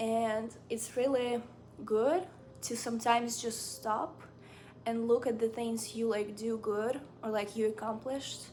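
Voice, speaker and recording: In a Ukrainian accent, a woman speaks at a fairly slow pace with fairly high pitch and fairly even intonation. There is audible room echo. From Ukraine. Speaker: book and lifestyle vlogger. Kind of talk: casual chat. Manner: casual, filler-heavy.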